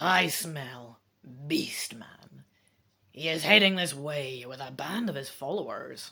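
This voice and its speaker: A woman's put-on character voice, growling at a very deep, low pitch and a fairly slow pace. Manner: warning, alert.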